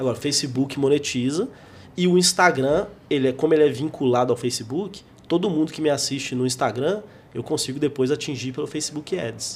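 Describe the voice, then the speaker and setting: With a normal speaking voice, a man speaks at a fairly quick pace and a fairly high pitch, varying it in an ordinary way. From Brazil, Minas Gerais (João Monlevade). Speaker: stand-up comedian. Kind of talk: casual interview. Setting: studio.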